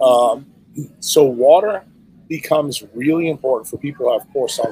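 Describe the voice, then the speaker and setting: Using an unremarkable speaking voice, a man talks at a moderate pace and fairly high pitch, with big swings in loudness. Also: ordinary pitch variation. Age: 60s. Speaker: neurosurgeon and health speaker. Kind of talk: podcast interview.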